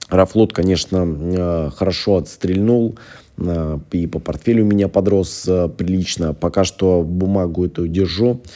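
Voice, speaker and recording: A man's very deep, low voice moves along at a fairly slow pace. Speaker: investing video blogger. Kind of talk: casual tutorial-style portfolio review. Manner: hesitant, many filler sounds.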